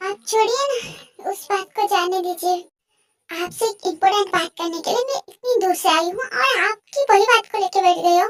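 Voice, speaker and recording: A woman puts on a squeaky character voice at an extremely high pitch, with ordinary pitch variation and a moderate pace. The sound is dry and close, with no echo. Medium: fan dub. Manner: emotional, insistent.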